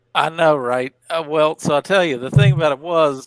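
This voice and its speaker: On a very clean recording with a silent background and a dry, close sound with no echo, a man with a Southern US accent and a fairly high pitch talks at a moderate pace with fairly even intonation. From southwestern Virginia. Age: 30s. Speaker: stream participant with schizoid traits. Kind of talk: casual chat. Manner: halting.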